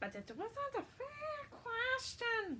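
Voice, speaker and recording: A woman in a put-on character voice sounds squeaky and hissing at an extremely high pitch, with clear background noise. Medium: read story. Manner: hissing, calls itself precious.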